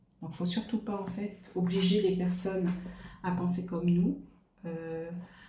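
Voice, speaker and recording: A woman speaks fairly slowly in a dark, mellow, somewhat breathy tone. Her intonation is monotone and flat, with audible room echo. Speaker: tarot card reader. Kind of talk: card reading monologue. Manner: hesitant, many fillers.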